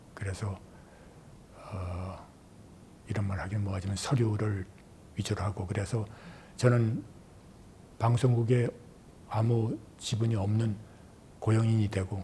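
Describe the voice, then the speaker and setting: Speaking at a fairly slow pace with long, frequent pauses, a man uses a fairly low, somewhat breathy voice with a dark, mellow tone and fairly even intonation. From Korea, Seoul. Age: 70s. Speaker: retired journalist and broadcaster. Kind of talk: oral history interview.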